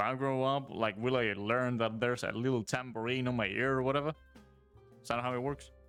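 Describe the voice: Over music in the background, a man at medium pitch speaks at a fairly quick pace with a monotone, flat intonation and very even loudness.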